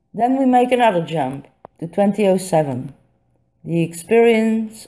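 On a very clean recording with a silent background, a woman with a Dutch accent speaks at a fairly slow pace in a dark, mellow tone with lively intonation. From Netherlands. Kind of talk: reading a personal essay. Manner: a bit staccato.

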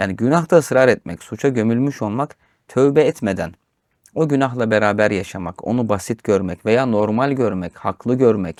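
The recording is very clean, with a silent background and a dry, close sound without echo. A man of medium pitch speaks at a moderate pace in an unremarkable speaking voice. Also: ordinary pitch variation. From rural Turkey. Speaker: religious teacher. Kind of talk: religious discussion of Quran commentary.

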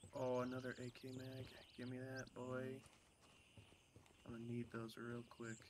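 The speaker has an American accent and a relaxed tone, with monotone, flat intonation. The pace is moderate, broken by long, frequent pauses. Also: man, medium pitch for a man. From US Midwest. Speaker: gaming streamer. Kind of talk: casual gameplay chat. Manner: casual, relaxed.

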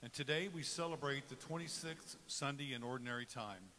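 A man's bright, sharp tone over light background noise. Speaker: cantor or music minister. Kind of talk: liturgical welcome and led prayer. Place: church.

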